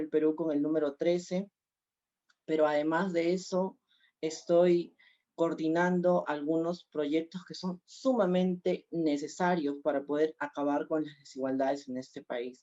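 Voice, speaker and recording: The speaker moves at a fairly slow pace. Their intonation stays fairly even. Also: woman. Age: 20s. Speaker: congressional candidate. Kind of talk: political debate.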